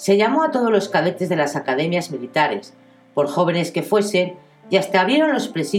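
Lively intonation marks this reading. It is done aloud in a natural voice.

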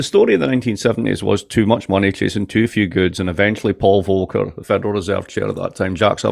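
Talking at a very fast pace with an American accent, a man uses a fairly low pitch, ordinary pitch variation and vocal fry. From Scotland, Dundee. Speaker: professor of political economy. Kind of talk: casual interview chat.

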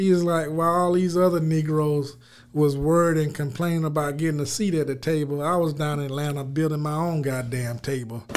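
A man's fairly high pitch, with fairly even intonation at a fairly quick pace. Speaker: financial advisor and CPA. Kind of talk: casual chat, podcast conversation. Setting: remote location, recorded on a mic.

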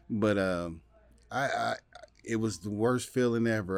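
With an American accent, a man in a plain, everyday voice speaks at a fairly slow pace, his fairly low pitch moving with ordinary variation. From Ohio, Dayton. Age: 40s. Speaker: comedian. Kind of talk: casual chat.

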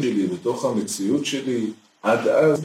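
Its pitch varies in an ordinary way. Overall, it is an unremarkable speaking voice. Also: man. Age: 40s. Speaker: spiritual counselor and teacher. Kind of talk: interview.

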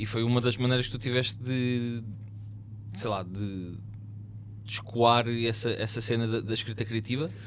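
A man speaks at a moderate pace with medium pitch, monotone, flat intonation and long, frequent pauses. Noticeable background noise and audible room echo are present. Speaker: podcast host. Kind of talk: casual chat.

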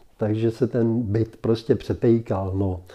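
A man talks at a very slow pace in a dark, mellow tone with fairly even intonation. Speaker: interviewee recalling his 1960 wedding. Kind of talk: casual interview recollection. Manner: halting, many fillers.

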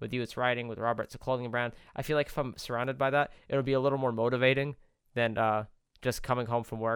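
Over a quiet background, a man talks very fast at a medium pitch with fairly even intonation. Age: young. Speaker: podcast co-host. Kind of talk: casual chat.

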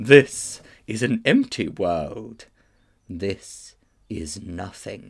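In a put-on character voice, a man speaks at a very slow pace, leaving long, frequent pauses. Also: fairly low pitch for a man. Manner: cold, haughty, commanding.

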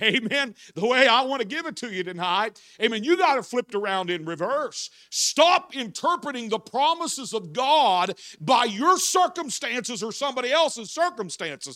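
A man projects a raised voice at an extremely high pitch, with a bright, sharp tone, very wide pitch swings, and a moderate pace, in a very clean recording with a silent background. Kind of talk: sermon. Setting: church evening service, holding a microphone. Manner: animated, talks with his hands; fervent, preaching in full flow.

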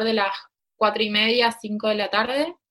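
Speaking with a Rioplatense accent, a woman uses a fairly high pitch. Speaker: embroiderer and teacher. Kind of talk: interview.

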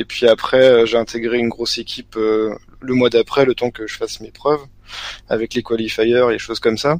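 The intonation is flat and monotone. It comes from a man at a medium pitch. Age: 20s. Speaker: card game player. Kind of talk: casual interview.

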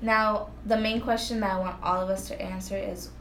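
Amid noticeable background noise and audible room echo, a woman with an American accent talks at a moderate pace. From Florida. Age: 20s. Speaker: podcast co-host. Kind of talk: casual chat.

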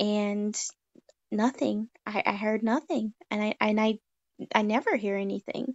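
Pausing long and often, a woman speaks at a fairly slow pace with fairly high pitch and fairly even intonation. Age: 20s. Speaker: guest discussing religion. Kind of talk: casual chat.

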